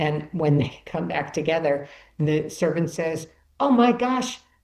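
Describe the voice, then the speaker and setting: A woman with a Chicago accent speaks at a fairly slow pace in a fairly low pitch, with an animated tone. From US Midwest, Chicago. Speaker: author and bereaved mother. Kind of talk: podcast interview. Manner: storytelling, animated.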